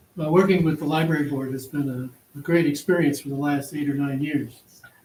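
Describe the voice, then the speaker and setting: A man's fairly high, somewhat breathy voice, fairly quick in pace and monotone, with flat intonation. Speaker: county board candidate. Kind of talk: candidate forum answer. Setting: public forum with audience.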